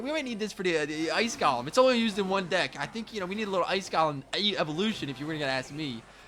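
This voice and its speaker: Speaking at a very fast pace, a man uses a raised, projected voice with an animated tone, high pitch and very wide pitch swings. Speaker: gaming YouTuber. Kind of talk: gameplay commentary.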